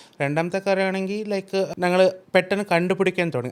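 The speaker is a man. His accent is non-native. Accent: non-native-sounding Malayalam. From Karnataka, India. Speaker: IVF doctor. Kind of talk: interview. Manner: heavy English code-switching.

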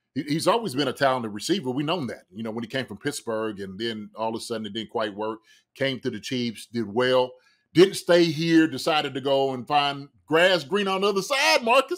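Male voice, lively in intonation and swinging widely in loudness, against a quiet background. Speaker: co-host. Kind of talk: sports commentary. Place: home room.

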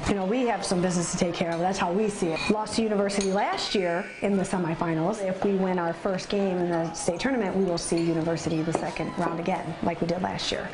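A woman at a very fast pace with hardly any pauses, fairly even intonation and noticeable background noise. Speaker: assistant basketball coach. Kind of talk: interview answer. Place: kitchen.

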